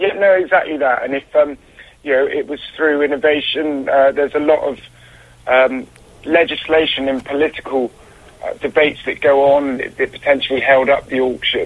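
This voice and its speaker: A moderate pace and fairly even intonation, set against noticeable background noise. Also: man, fairly high pitch for a man. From Bristol. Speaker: caller. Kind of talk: casual chat. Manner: halting, hesitant.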